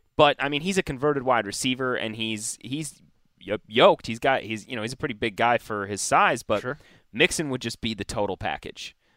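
A man with an American accent speaks in a bright, sharp tone at medium pitch and a fairly quick pace, on a very clean recording with a silent background and a dry, close sound with no echo. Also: ordinary pitch variation. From Wisconsin, US Midwest. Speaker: fantasy football analyst. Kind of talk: casual chat.

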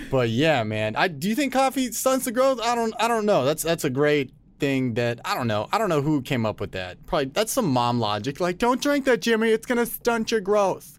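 On a very clean recording with a silent background, the speaker moves at a fairly quick pace with hardly any pauses and very wide pitch swings. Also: man, high pitch for a man. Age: 20s. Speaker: podcast co-host. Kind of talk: casual chat.

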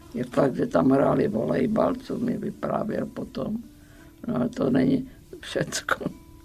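A woman speaks at a medium pitch with very wide pitch swings. Her pace is very slow, and there is noticeable background noise. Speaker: former political prisoner. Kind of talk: oral history interview.

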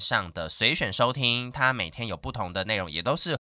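On a very clean recording with a silent background, a man at medium pitch speaks in a bright, sharp tone with vocal fry. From Taiwan, Hakka area of Meinong, Kaohsiung. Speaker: radio host. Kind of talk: casual interview chat.

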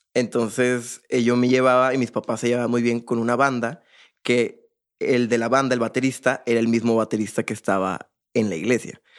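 A man at medium pitch and moderate pace, monotone and flat, on a very clean recording with a silent background. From Monterrey, Mexico. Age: 20s. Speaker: drummer. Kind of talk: casual interview chat.

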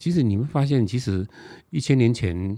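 A man speaks in a dark, mellow tone with very wide pitch swings in a very clean recording with a silent background. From Taiwan, Nantou County. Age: 60s. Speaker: author and TV travel host. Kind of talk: interview.

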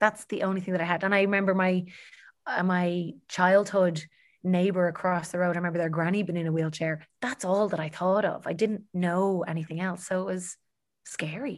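Speaking with a Dublin accent over a quiet background, a woman at medium pitch keeps a moderate pace and a monotone, flat intonation. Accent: Dublin Irish. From Ireland, Dublin. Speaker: health coach and TV panelist. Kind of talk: interview conversation.

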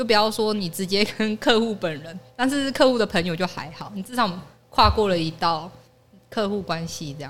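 A woman with a plain, everyday voice, medium in pitch, speaks at a moderate pace with lively intonation and big swings in loudness. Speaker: office worker. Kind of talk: casual chat.

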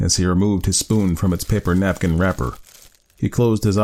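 The intonation is fairly even. It is a natural reading voice.

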